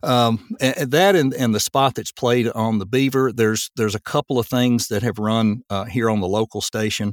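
Dry and close with no echo, a man with a Southern US accent talks with hardly any pauses. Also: medium pitch for a man, ordinary pitch variation, moderate pace. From Tennessee. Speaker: voice actor. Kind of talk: casual interview.

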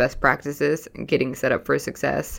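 A woman at a fairly quick pace, with a very deep, low pitch and vocal fry. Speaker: podcast co-host. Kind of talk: casual chat. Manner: fast.

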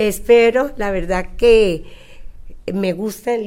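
A woman with a Costa Rican accent and a dark, mellow tone. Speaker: Hebrew and preschool teacher. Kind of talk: interview. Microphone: too quiet, far from the mic.

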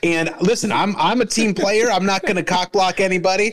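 There is noticeable background noise. A man talks in a high pitch. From Arizona, US. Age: 40s. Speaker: comedian and podcast host. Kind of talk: casual chat.

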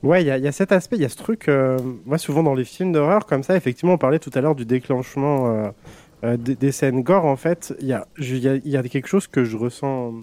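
A man talks at a fairly quick pace with a fairly high pitch and ordinary pitch variation. The sound is dry and close, with no echo. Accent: Franche-Comté. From Franche-Comté, France. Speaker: youtuber. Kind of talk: casual chat.

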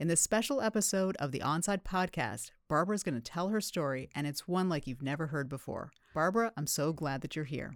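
The recording is very clean, with a silent background. The talk runs at a fairly quick pace with hardly any pauses. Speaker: podcast host. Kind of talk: interview conversation.

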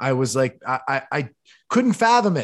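A man's fairly high-pitched voice against a quiet background. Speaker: podcast host. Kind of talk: casual interview. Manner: high energy.

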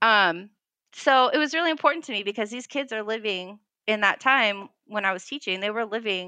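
With an American accent, a woman has an ordinary speaking voice, fairly high in pitch, with lively intonation at a moderate pace in a very clean recording with a silent background. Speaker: history teacher. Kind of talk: interview.

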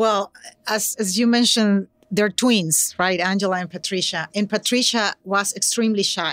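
A woman with a Venezuelan accent, medium pitch, fairly even intonation and moderate pace, in a dry, close sound with no echo. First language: Spanish. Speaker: educator and nonprofit program director. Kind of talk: conversational interview. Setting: live recording at a conference. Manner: hesitant, many filler words.

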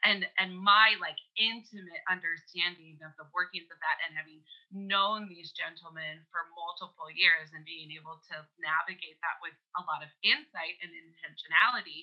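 This woman has a plain, everyday voice, pitched fairly low, with fairly even intonation. She keeps a moderate pace while her loudness swings widely. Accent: Canadian. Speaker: podcast guest. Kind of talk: casual chat. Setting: remote call.

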